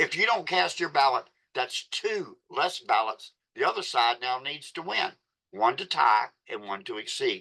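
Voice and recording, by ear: A man speaks at a medium pitch and a fairly slow pace, with vocal fry. His tone is bright and sharp, and his pitch swings widely.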